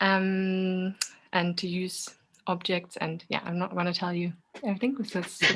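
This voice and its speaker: A woman with a German accent speaks at a moderate pace with fairly even intonation. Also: medium pitch for a woman. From Germany. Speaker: movement artist. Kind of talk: casual chat.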